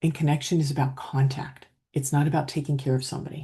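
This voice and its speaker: Her pitch is very deep and low for a woman, with a dark, mellow tone. The woman sounds somewhat breathy. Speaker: leadership coach. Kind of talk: coaching talk to camera. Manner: calm, steady.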